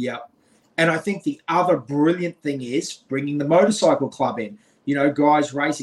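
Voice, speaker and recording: With an Australian accent, a man speaks fairly quickly at a fairly high pitch. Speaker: podcast co-host. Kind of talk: casual interview chat. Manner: animated.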